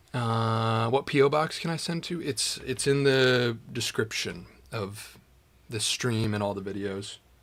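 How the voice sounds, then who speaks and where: An unremarkable speaking voice moves at a fairly slow pace with ordinary pitch variation. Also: man, medium pitch for a man. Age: 20s. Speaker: YouTuber, woodworker. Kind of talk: casual livestream chat. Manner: casual, relaxed.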